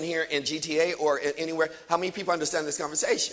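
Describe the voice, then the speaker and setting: Over noticeable background noise, a man talks at a very fast pace with a fairly high pitch. His tone is animated. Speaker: motivational speaker. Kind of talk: motivational seminar talk.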